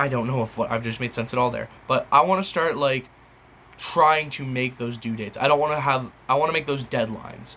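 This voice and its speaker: A man speaks at a fairly quick pace in a medium pitch, his bright, sharp tone carrying ordinary pitch variation. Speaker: YouTuber, beatboxer. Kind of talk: casual monologue to viewers. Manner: halting, many fillers.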